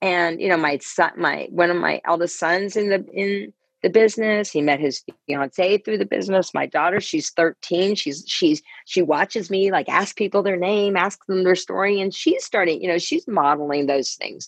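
Vocal fry runs through this moderately paced speech, which has ordinary pitch variation and a dry, close sound with no echo. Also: woman, medium pitch for a woman. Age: 50s. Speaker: life coach and network marketer. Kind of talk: casual interview. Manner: animated, repetitive.

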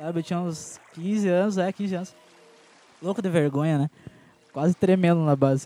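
Speaking in a high pitch with fairly even intonation, a man leaves long, frequent pauses. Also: moderate pace. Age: 20s. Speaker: dancer. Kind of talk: casual chat.

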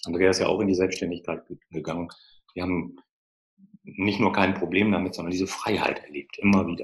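The speech moves at a fairly quick pace with long, frequent pauses. The intonation is monotone and flat. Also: man, very deep, low pitch for a man. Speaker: financial advisor. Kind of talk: interview. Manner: halting.

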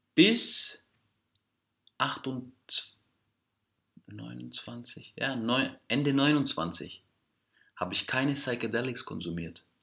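A man of medium pitch talks at a very slow pace in a bright, sharp tone with vocal fry and very wide pitch swings. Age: 30s. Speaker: entrepreneur. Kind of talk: casual interview conversation. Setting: recorded in Greece.

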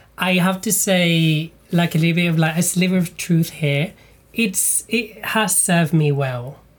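A woman speaks at a fairly low pitch and a fairly slow pace, somewhat breathy and very even in loudness, in a very clean recording with a silent background. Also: ordinary pitch variation. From Malta. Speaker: comedian and podcast host. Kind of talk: casual interview chat.

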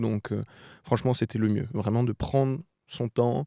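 The recording is very clean with a silent background and a dry, close sound with no echo. A man with a dark, mellow, medium-pitched voice speaks at a fairly slow pace with fairly even intonation. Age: 20s. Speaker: journalism student, former working-holiday traveller. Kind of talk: interview, casual travel story. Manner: hesitant, many filler sounds.

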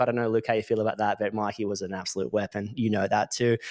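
Against a quiet background, a man with an Australian accent speaks at a fairly low pitch. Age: 30s. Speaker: electrical business coach. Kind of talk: casual monologue. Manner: animated.

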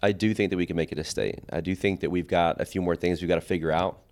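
A man with an American accent speaks in a very deep, low pitch and fairly even intonation. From Oklahoma City South Side. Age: 40s. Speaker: high school soccer coach. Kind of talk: casual interview. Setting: studio.

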